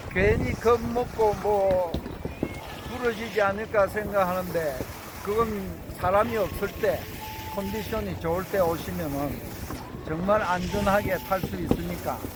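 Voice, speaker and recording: Speaking very slowly with long, frequent pauses, a man with a high voice and ordinary pitch variation is heard over noticeable background noise. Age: 70s. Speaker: senior skier. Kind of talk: interview answer.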